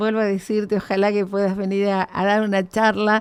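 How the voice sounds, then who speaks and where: A woman speaks with an Argentine accent at a moderate pace. Her pitch sits in the medium range. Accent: Argentine Spanish (Rioplatense). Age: 60s. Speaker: radio host. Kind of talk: radio interview.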